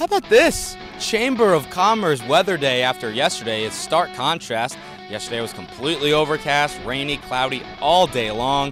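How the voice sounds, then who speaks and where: Upbeat, energetic tone over background music, at a moderate pace with very wide pitch swings. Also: man, fairly high pitch for a man. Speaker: sports reporter. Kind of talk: TV sports reporter stand-up.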